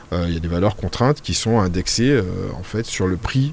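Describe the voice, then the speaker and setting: With ordinary pitch variation, a man talks through noticeable background noise. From Martinique. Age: 40s. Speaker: local politician. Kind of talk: radio interview. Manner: hesitant, many fillers.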